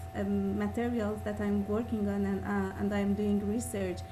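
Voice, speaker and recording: A woman speaks with a non-native accent, and audible room echo surrounds her voice. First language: not English. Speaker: audience participant, PhD student. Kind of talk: audience question.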